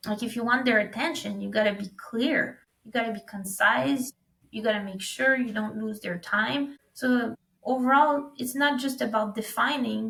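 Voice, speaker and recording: A woman with a French accent and ordinary pitch variation. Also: fairly high pitch for a woman, moderate pace. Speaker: recruitment startup founder. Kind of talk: podcast interview.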